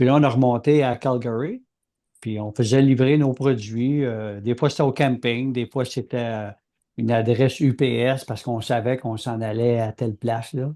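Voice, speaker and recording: A man with a Quebec accent speaks at a medium pitch and a moderate pace, his tone dark and mellow. His intonation is fairly even, and the background is quiet. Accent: Québécois French. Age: 60s. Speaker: podcast co-host, aircraft engine designer. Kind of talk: casual chat.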